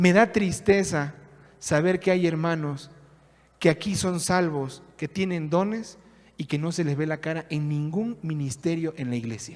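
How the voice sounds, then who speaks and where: With a high pitch and ordinary pitch variation, a man speaks at a fairly slow pace. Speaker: pastor. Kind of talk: sermon.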